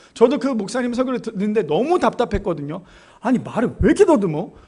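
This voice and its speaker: Pitched high, a man's voice makes very wide pitch swings. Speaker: pastor. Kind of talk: sermon. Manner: fast.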